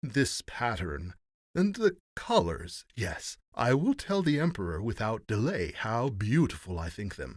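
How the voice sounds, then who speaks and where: Someone performs a put-on character voice with very wide pitch swings. The pace is fairly slow, and the recording is very clean with a silent background. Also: man, medium pitch for a man. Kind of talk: old-fashioned fairy tale reading. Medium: read story.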